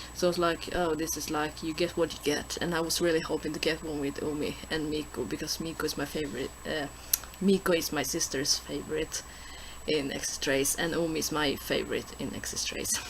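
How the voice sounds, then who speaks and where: The speaker has a non-native accent and a fairly quick pace. Noticeable background noise is present. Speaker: vlogger. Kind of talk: casual vlog. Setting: handheld camera recording. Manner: halting.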